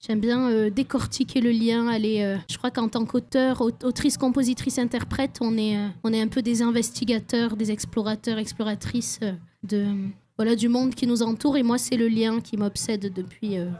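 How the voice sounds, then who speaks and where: This woman has a fairly high pitch, a dark, mellow tone, and a somewhat breathy voice, speaking at a moderate pace with monotone, flat intonation. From French Basque Country. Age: 20s. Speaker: singer-songwriter. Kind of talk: radio interview. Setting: radio studio at a festival.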